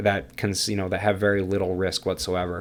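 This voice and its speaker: A man mumbles at a fairly quick pace. His pitch sits fairly low. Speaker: crypto YouTuber. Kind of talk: tutorial. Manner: fast; mumbling.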